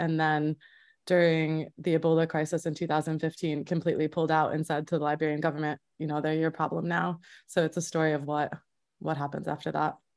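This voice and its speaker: Recorded very cleanly against a silent background, a woman with an American accent talks at a fairly quick pace in a very deep, low pitch, her intonation monotone and flat. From upstate New York. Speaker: filmmaker and journalist. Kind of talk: interview.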